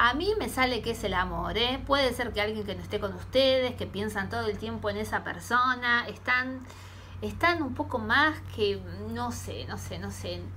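A woman speaks at a fairly slow pace. Light background noise is audible. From Argentina. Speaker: tarot reader. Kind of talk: tarot reading vlog. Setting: home, camera recording. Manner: hesitant, with many fillers. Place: home room. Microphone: phone near.

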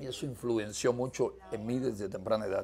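Vocal fry at a moderate pace, with ordinary pitch variation and light background noise. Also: man. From eastern Cuba. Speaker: political dissident. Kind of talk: interview testimony. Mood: earnest, firm. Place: home room.

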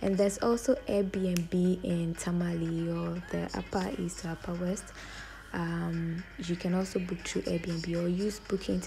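Faint music plays in the background as a woman speaks at a fairly slow pace. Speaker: travel vlogger. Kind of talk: casual vlog chat. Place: station. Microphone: phone near.

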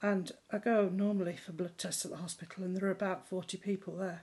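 A woman with a British accent speaks at a fairly quick pace in a dark, mellow tone. Her delivery is monotone and flat, and somewhat breathy. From England. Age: 60s. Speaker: member of the public. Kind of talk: video testimony; personal testimony, casual talk to camera. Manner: halting, many filler words. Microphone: phone near.

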